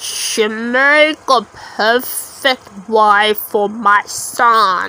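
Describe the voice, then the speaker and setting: A woman puts on a croaky character voice, fairly high-pitched and very slow. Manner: scheming, menacing.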